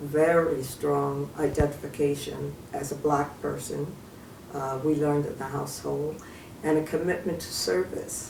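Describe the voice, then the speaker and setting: A woman with an American accent speaks fairly slowly at a very deep, low pitch, with audible room echo and noticeable background noise. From New York City, Harlem. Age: 70s. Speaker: retired social worker and community activist. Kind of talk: interview.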